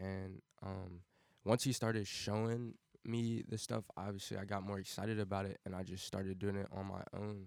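Over a silent background in a very clean recording, a man with a fairly low voice and an American accent speaks at a moderate pace in a monotone, flat way. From Cincinnati, Ohio, US Midwest. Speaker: college student and amateur music producer. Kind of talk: casual podcast interview. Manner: clear, unhesitating.

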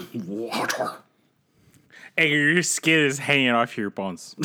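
A man puts on a character voice at a medium pitch, moving at a fairly slow pace. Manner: acting a scene from a story.

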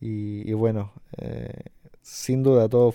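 A man speaks in a Chilean accent with a dark, mellow tone. His intonation stays fairly even. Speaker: podcast host. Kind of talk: casual interview.

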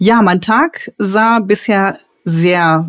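Dry, close sound with no echo around a woman's ordinary pitch variation. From Ruhr area, Dortmund (Germany). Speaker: elderly care manager and consultant. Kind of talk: podcast interview.

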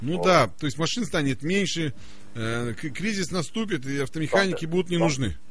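Audible room echo surrounds a man with a fairly high pitch. He talks at a fairly quick pace with lively intonation. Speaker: radio host. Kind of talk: casual chat. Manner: animated.

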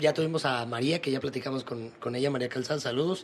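Speaking fairly quickly, a man uses a plain, everyday voice whose pitch varies in an ordinary way. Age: 20s. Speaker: podcast host. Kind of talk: casual chat.

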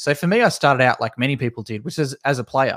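A very fast male speaker in an Australian accent, dry and close with no echo, on a very clean recording with a silent background. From Tasmania, Australia. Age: 20s. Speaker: esports consultant. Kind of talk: casual interview.

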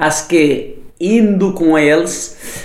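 A Nepali accent with audible room echo and noticeable background noise. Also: man. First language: Nepali (speaking Portuguese). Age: 40s. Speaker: chef and restaurateur. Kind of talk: interview. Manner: halting.

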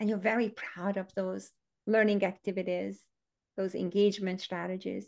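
Monotone, flat delivery at a moderate pace in a Hungarian accent. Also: woman, medium pitch for a woman. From Hungary. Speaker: education author and former teacher. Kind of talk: casual interview conversation.

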